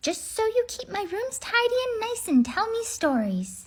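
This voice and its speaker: Going extremely high in pitch, a woman uses a squeaky, put-on character voice. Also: moderate pace. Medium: read story. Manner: warm, motherly.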